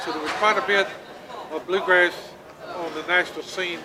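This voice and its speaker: Here a man with an American accent talks very fast at a high pitch, his intonation fairly even. Noticeable background noise and audible room echo fill the recording. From Texas, Limestone County (Groesbeck). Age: 60s. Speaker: bluegrass bandleader. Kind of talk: interview. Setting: music festival.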